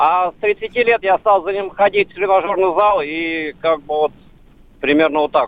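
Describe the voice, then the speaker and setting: A man with a high pitch at a moderate pace. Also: ordinary pitch variation. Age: 60s. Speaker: caller, amateur bench press athlete. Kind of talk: call-in question.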